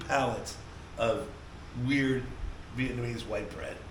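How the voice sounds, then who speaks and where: An American-accented man speaks in an animated tone over noticeable background noise. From Colorado, USA. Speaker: actor and comedian. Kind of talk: podcast interview answer. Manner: storytelling, animated.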